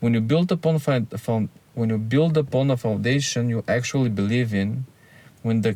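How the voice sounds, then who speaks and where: On a very clean recording with a silent background, a man with a non-native accent speaks fairly slowly in a dark, mellow tone at medium pitch, his pitch varying an ordinary amount. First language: not English. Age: 30s. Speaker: YouTuber. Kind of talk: personal monologue to camera. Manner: earnest, candid.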